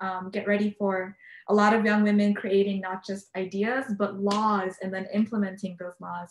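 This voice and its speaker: A woman's medium-pitched voice comes across somewhat breathy. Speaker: peace activist and panelist. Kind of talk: panel discussion. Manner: fast; hesitant, many fillers.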